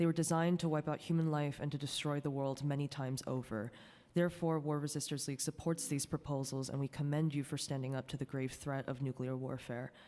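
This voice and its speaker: The speech runs at a very fast pace with hardly any pauses, in a very clean recording with a silent background. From US East Coast, born in South Korea. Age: 20s. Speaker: anti-war organizer. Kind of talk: public testimony. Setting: city council hearing. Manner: formal.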